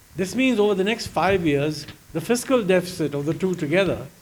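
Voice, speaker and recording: A high-pitched man with lively intonation at a moderate pace, in audible room echo. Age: 80s+. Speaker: economist. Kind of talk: fireside chat on stage.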